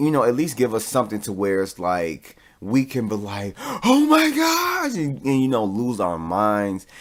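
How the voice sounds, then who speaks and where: The man speaks at a moderate pace and medium pitch. His pitch variation is ordinary, over noticeable background noise. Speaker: podcast host. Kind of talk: solo podcast review.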